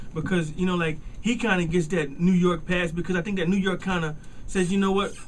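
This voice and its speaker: Speaking at a fairly quick pace with an American accent, a man with a high-pitched voice holds a very even loudness and fairly even intonation amid audible room echo and noticeable background noise. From US South. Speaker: radio host. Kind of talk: radio interview. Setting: radio studio. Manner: halting, many repetitions.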